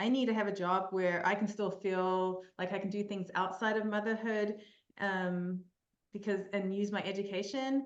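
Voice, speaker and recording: In a room with audible echo, a woman talks at a moderate pace and medium pitch with fairly even intonation. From New Zealand. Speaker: mental performance coach. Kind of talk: podcast interview. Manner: hesitant, many fillers.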